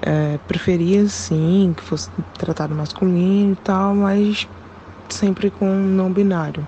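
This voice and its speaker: A woman speaks at a very slow pace and medium pitch, with fairly even intonation and very even loudness. Noticeable background noise runs underneath. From Pernambuco, Brazil. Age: 20s. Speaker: listener sending a voice message. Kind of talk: recorded voice message.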